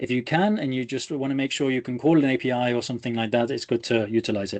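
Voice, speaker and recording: Against a quiet background, a man with an English Midlands accent talks very fast in a medium-pitched voice with ordinary pitch variation. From England, Leicester. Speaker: data engineer, conference speaker. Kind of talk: technical presentation. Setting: video call. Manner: energetic, animated.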